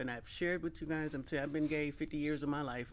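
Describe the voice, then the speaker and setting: A woman's very deep, low-pitched voice. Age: 60s. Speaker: podcast co-host. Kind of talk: casual chat. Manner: animated.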